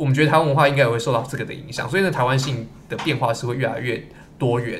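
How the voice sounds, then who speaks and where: A man speaks at a medium pitch with ordinary variation. His voice is somewhat breathy. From Tamsui, Taiwan. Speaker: co-host, history grad student. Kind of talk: casual podcast conversation.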